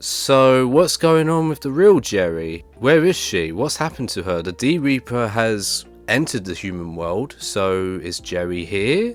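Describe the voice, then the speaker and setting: Over music in the background, a man speaks at a fairly slow pace with hardly any pauses, his medium pitch making very wide swings. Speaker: YouTube anime commentator. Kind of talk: video essay narration.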